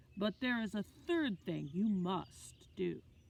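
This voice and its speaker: Putting on a character voice, a woman speaks fairly slowly in a gentle tone at a medium pitch. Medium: read story. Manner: gentle, wise.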